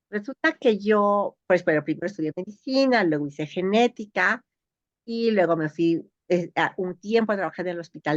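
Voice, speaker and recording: With an unremarkable speaking voice, a woman talks at a moderate pace and medium pitch, her intonation lively, the sound dry and close with no echo. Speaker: geneticist. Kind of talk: interview.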